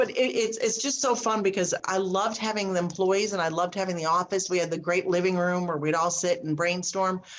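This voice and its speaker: In a quiet background, a woman with an unremarkable speaking voice talks at a fairly quick pace, with medium pitch and ordinary pitch variation. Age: 60s. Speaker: speaker and business coach. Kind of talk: casual interview chat.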